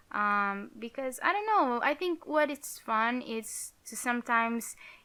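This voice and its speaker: A woman's fairly high voice with a Portuguese accent, at a very slow pace. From Portugal. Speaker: YouTuber, Sims builder. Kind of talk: casual gaming commentary. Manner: halting.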